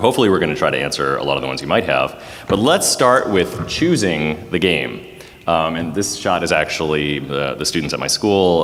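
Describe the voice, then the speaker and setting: With noticeable background noise and audible room echo, a man with a very deep, low pitch talks at a fairly quick pace and ordinary pitch variation. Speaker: panelist, teacher. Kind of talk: convention panel presentation. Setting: stage with audience. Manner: loud.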